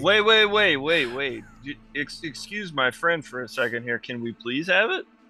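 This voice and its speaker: A man's drawling, put-on character voice at a fairly high pitch, with very wide pitch swings, a fairly slow pace and faint music in the background. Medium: actual play. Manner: drawling, says man constantly.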